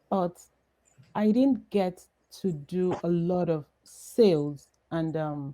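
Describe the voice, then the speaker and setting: A woman speaks with a Nigerian accent. Her voice is fairly low, with a dark, mellow tone. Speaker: entrepreneur. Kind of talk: interview. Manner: halting.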